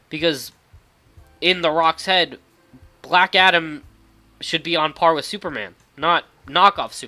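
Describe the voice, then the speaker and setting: Music plays behind a man with a high pitch. His pitch variation is ordinary. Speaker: YouTuber reviewing movies. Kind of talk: casual solo commentary. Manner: halting, many fillers.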